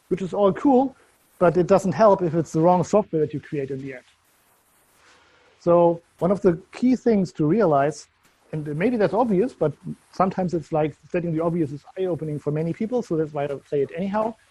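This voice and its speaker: The voice has a dark, mellow tone and a German accent. It moves at a fairly quick pace with ordinary pitch variation. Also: man, high pitch for a man. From Germany. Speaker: software consultant. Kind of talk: conference talk.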